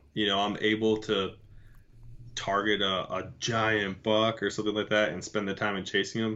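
A man's fairly low voice at a moderate pace, in a monotone, flat intonation. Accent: American. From Michigan. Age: 30s. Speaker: bowhunter, Navy veteran. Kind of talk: casual chat.

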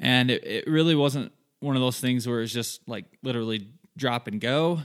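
A man is speaking. His intonation is fairly even. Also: very clean recording, silent background. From southern Michigan, US. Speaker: hunting podcast host. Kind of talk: solo podcast monologue. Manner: casual, filler-heavy.

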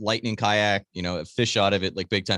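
A man with an American accent has a bright, sharp tone and a fairly low pitch, with fairly even intonation. The sound is dry and close with no echo over a quiet background. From Wisconsin, Green Bay. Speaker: radio host and kayak angler. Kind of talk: casual chat. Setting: remote call with studio mic setup.

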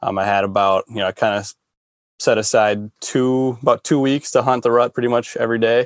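Using a plain, everyday voice with an American accent, a man talks at a medium pitch and a fairly quick pace with fairly even intonation, in a dry, close sound with no echo. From Minnesota. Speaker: deer hunter and hunting content creator. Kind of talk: casual interview chat.

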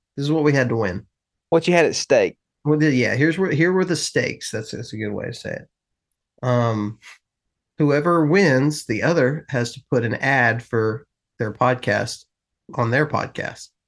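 Against a quiet background, someone with a Southern US accent speaks at a moderate pace, with long, frequent pauses. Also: man, fairly high pitch for a man, ordinary pitch variation. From US South. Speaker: hunting podcast host. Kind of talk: casual chat.

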